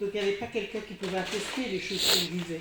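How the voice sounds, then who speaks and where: This woman's voice is somewhat breathy and medium in pitch, with fairly even intonation. Audible room echo surrounds her. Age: 60s. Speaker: church member giving testimony. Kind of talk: testimony. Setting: church congregation. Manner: halting.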